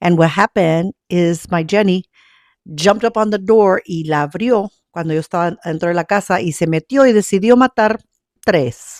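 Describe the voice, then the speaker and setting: Dry and close with no echo, a very clean recording with a silent background captures a woman with an American accent talking fairly quickly at a medium pitch, her pitch varying in an ordinary way. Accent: Mexican American Texan English. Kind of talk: casual talk to camera. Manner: code-switching Spanish and English.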